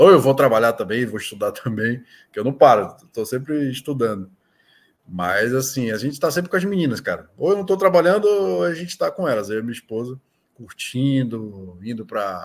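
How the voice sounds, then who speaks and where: Very wide pitch swings at a fairly quick pace. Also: man. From Brazil, Manaus (Amazonas); Amazonas, Brazil. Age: 30s. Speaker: sports betting tipster; podcast guest. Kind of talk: casual interview. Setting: video call. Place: home room.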